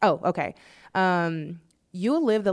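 A woman with a plain, everyday voice and a fairly low pitch is heard on a very clean recording with a silent background. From US urban neighborhood. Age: 20s. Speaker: art director and co-host. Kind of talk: casual chat.

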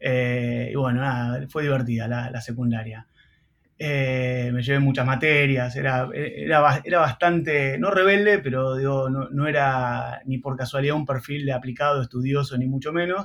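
A man's unremarkable speaking voice, medium in pitch, at a moderate pace with ordinary pitch variation. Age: 40s. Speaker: entrepreneur and marketing professor. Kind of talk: casual interview.

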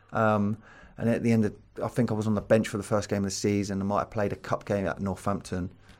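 A man with a southern English accent talks at a very fast pace in a fairly low, monotone voice with flat intonation. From southern England. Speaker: former footballer and coach. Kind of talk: interview. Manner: casual.

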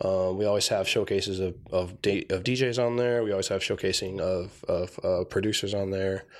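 A man with an unremarkable speaking voice and an American accent talks with fairly low pitch, fairly even intonation and hardly any pauses. His loudness stays very even, and the recording is very clean with a silent background. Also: moderate pace. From Tucson, Arizona. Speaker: hip-hop festival organizer. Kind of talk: casual chat. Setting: studio.

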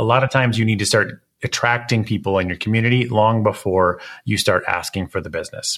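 At a very fast pace, a man talks in a medium-pitched voice. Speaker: podcast host and portrait photographer. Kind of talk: interview podcast. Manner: animated.

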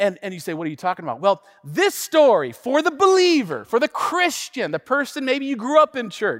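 A man with an American accent speaks at an extremely high pitch. The sound is dry and close with no echo, on a very clean recording with a silent background. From US Pacific Northwest, Tacoma, Washington. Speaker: pastor. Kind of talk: sermon. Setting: church livestream. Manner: animated.

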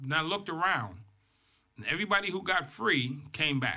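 A man in an American accent, fairly high-pitched with a bright, sharp tone and vocal fry, at a moderate pace. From Boston, Massachusetts. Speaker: motivational speaker, former prisoner. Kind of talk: interview storytelling. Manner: animated.

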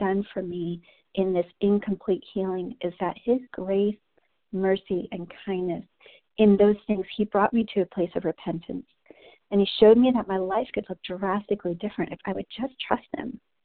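In an American accent, a woman with an ordinary speaking voice talks at a moderate pace and medium pitch, with ordinary pitch variation. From New Jersey. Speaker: women's ministry leader. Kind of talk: devotional teaching. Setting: conference call. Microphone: line initially inaudible, feedback.

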